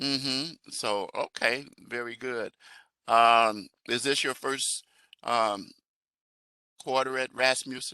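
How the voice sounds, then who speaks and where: A man speaks very slowly in an American accent, his medium-pitched voice bright and sharp, with fairly even intonation, long and frequent pauses, and a dry, close sound with no echo. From Chicago. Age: 70s. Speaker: professor. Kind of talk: online class introductions. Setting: video call. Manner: halting.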